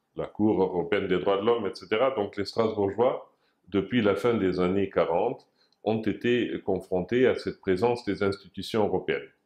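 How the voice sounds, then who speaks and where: At a moderate pace and against a quiet background, the speaker talks with a German accent and fairly even intonation. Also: man, fairly low pitch for a man. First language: German (speaking French). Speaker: former European institution official, association president. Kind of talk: interview. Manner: hesitant, many filler sounds.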